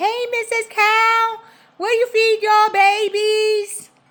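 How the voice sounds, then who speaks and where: In a squeaky, put-on character voice that sounds female, the speaker talks at a very slow pace, extremely high in pitch and monotone and flat. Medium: read story. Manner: cheerful, inquisitive.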